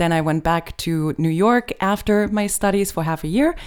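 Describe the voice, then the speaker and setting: With a German accent, a woman speaks with fairly even intonation in a very clean recording with a silent background. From Germany.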